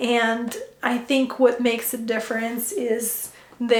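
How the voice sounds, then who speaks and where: Speaking with a Ukrainian accent, a woman is heard with audible room echo and noticeable background noise. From Ukraine. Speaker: functional medicine health coach. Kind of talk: personal story vlog. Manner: hesitant with fillers.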